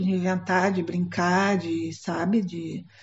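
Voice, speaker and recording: A woman's voice amid noticeable background noise. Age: 70s. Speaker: theatre professor and director. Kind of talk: documentary interview. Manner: hesitant, with many fillers.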